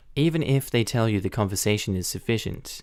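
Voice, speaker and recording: A man with an Australian accent, on a very clean recording with a silent background. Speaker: Reddit story narrator. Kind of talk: Reddit post reading.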